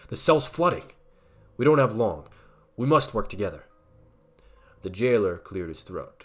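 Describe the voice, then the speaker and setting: Over music in the background, a man speaks at a moderate pace and medium pitch with long, frequent pauses. His pitch swings very widely and his loudness swings a lot. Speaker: horror story narrator. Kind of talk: horror story reading.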